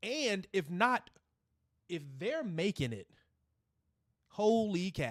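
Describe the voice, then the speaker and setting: An animated man's voice, high in pitch. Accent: American. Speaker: gaming streamer. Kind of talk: casual live stream chat.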